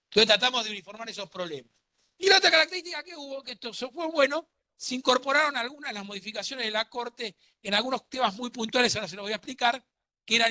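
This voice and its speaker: A man's raised, projected voice, high-pitched with a bright, sharp tone, very fast, in a dry, close sound with no echo. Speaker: law lecturer. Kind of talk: lecture.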